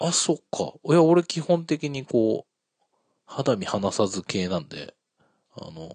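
Very slow pace, very wide pitch swings and big swings in loudness, in a dry, close sound with no echo. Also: man, medium pitch for a man. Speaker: podcast host. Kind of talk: casual chat. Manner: casual, joking, talkative.

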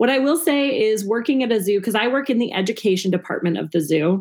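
In an American accent, a woman with a fairly high voice talks at a very fast pace, animated and with lively intonation, her loudness very even. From Minnesota. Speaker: comedian and zoo educator. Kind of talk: casual chat.

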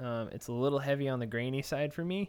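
A man with a Texan accent and lively intonation, on a very clean recording with a silent background. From Texas. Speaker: podcast co-host. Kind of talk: casual chat.

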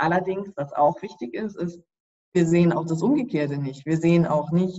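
With ordinary pitch variation, a woman talks in a very deep, low voice. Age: 30s. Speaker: sleep scientist. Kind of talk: interview.

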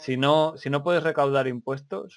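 Here a man speaks at a moderate pace and medium pitch. His intonation stays fairly even. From Spain. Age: 30s. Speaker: podcast host. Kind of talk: casual chat.

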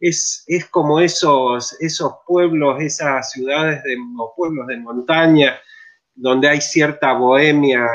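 Fairly even intonation and a fairly slow pace mark an ordinary speaking voice. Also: man. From Argentina, Mendoza. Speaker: theatre researcher and director. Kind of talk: interview on live stream.

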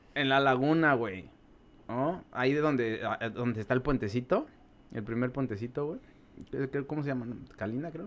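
The speaker has a Mexico City accent and ordinary pitch variation. The pace is moderate, with long, frequent pauses. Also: man, medium pitch for a man. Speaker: podcast guest. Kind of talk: casual chat.

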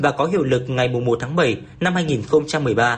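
Somewhat breathy, a man speaks at a very slow pace with ordinary pitch variation. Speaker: radio news reporter. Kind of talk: news reading.

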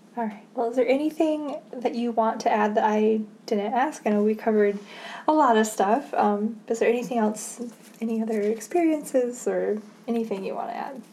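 A woman with an Upper Midwest accent speaks at a moderate pace in a fairly high pitch, with ordinary pitch variation and noticeable background noise behind her. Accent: Upper Midwest American. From Michigan, US Midwest. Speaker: student interviewer. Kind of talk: oral history interview. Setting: at interviewee's home.

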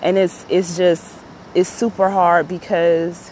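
Her voice is fairly low in pitch, and this woman keeps a monotone, flat intonation. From Chicago. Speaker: podcaster. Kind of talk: personal monologue.

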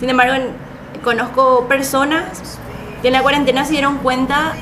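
A woman with a Paraguayan accent speaks at a moderate pace. Audible room echo and noticeable background noise are present. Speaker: podcast co-host, accounting student. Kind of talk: casual chat.

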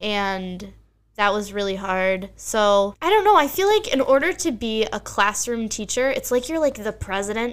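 With an American accent, a woman speaks at a moderate pace in an ordinary speaking voice pitched fairly high. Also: lively intonation. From Bucks County, Pennsylvania. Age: 20s. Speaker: teacher and stand-up comedian. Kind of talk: casual chat. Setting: home basement.

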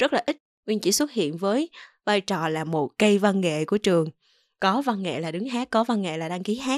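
This woman's intonation is lively and her pitch sits in the medium range. She talks at a moderate pace. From Mekong Delta, southern Vietnam. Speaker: voice talent. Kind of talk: solo podcast talk. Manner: clear, well-articulated.

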